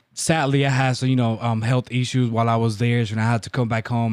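Talking at a very fast pace, a man uses a medium pitch with a Dominican accent. The recording is very clean, with a silent background. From Dominican Republic. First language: Spanish. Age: 20s. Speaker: baseball coach and business owner. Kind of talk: casual interview chat. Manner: loud.

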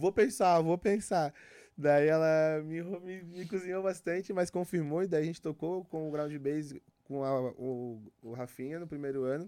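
A man speaks fairly slowly in a fairly high pitch with ordinary pitch variation and a dark, mellow tone. The recording is very clean with a silent background. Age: 30s. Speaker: psytrance DJ and producer. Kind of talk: casual chat. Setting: studio.

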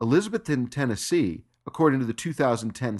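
Over a quiet background, an ordinary speaking voice talks at a fairly slow pace in an American accent. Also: man. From Los Angeles, California. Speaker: podcast host. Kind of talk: podcast news commentary.

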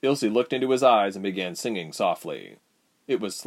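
Quiet surroundings, ordinary pitch variation, and an unforced reading voice

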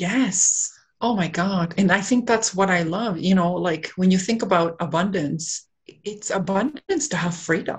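A somewhat breathy woman's voice at medium pitch, with ordinary pitch variation. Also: fairly slow pace. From Canada, raised in Whitby, Ontario (born in Peru). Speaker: wellness centre co-owner and coach. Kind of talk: interview. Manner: hesitant, many fillers.

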